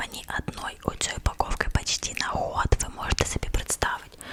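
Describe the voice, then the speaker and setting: Whispering at a moderate pace, a woman is heard through noticeable background noise. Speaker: ASMR creator. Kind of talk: ASMR whisper chat to the audience. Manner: whispered, soft-spoken.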